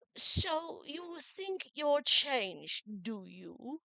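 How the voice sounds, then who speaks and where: Someone puts on a high-pitched character voice and talks at a very slow pace. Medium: read story. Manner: languid, curt, stern.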